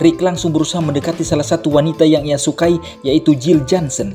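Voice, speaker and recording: With music in the background, a man in a playful tone talks at a very fast pace, his fairly high pitch varying in an ordinary way. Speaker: voice-over narrator. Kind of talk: comedic movie recap narration. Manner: playful, joking.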